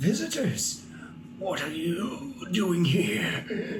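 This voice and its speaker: Over clear background noise, a man uses a put-on character voice pitched high and delivered at a very slow pace. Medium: actual play. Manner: evasive, weary.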